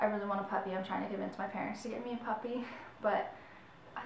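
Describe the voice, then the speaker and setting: With an American accent, a woman speaks amid light background noise and audible room echo. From Michigan. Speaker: YouTuber. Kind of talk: casual vlog talk. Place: home room. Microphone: camera far.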